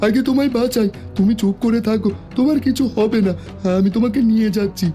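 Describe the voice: Over clear background music, a cartoonish character voice speaks at a fairly high pitch. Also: moderate pace.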